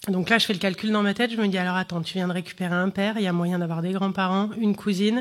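At a very fast pace, a woman with a medium-pitched voice speaks with fairly even intonation. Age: 30s. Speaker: comedian. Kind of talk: testimony.

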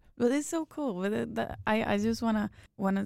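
The recording is very clean and the background is silent. The speaker is a woman. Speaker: podcast host. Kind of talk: casual interview. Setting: studio.

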